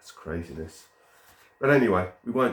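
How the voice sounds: The man talks at a fairly slow pace.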